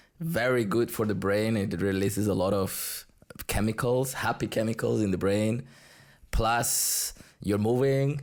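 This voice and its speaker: Over a very clean recording with a silent background, a man with a Spanish accent speaks at a moderate pace and medium pitch, with ordinary pitch variation and very even loudness. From Colombia. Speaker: salsa teacher. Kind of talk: casual interview chat.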